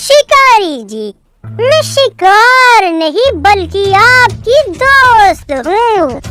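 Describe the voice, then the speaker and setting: A female-sounding cartoonish character voice pitched extremely high speaks at a very slow pace with hardly any pauses over faint background music. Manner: sly, clever.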